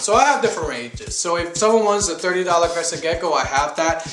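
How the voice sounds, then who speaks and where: A man with a slight Puerto Rican accent talks at a fairly quick pace with fairly high pitch. Noticeable background noise and audible room echo are present. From Puerto Rico. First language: Spanish. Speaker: reptile breeder, vlogger. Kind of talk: casual vlog monologue.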